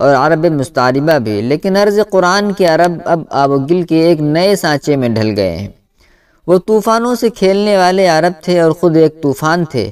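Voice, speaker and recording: The man's voice is high-pitched and carries lively intonation. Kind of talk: audiobook narration.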